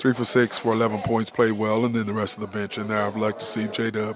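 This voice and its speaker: Over noticeable background noise, a man speaks at a fairly quick pace with hardly any pauses, using a fairly low pitch and monotone, flat intonation. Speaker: sports radio host. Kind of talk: sports talk show. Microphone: muffled.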